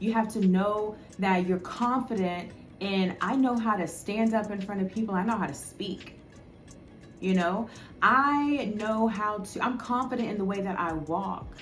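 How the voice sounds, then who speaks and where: Over music in the background, a woman speaks at a fairly slow pace with ordinary pitch variation and audible room echo. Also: medium pitch for a woman. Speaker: spiritual life coach and YouTuber. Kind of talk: casual talk to camera. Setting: talking to camera alone. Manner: halting, sometimes stutters.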